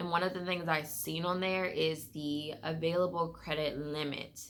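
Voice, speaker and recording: With an American accent, a woman talks in a very deep, low pitch, her tone bright and sharp and her intonation flat and monotone. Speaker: lifestyle vlogger. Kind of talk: personal finance vlog, casual talk to camera. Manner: fast; casual, many fillers.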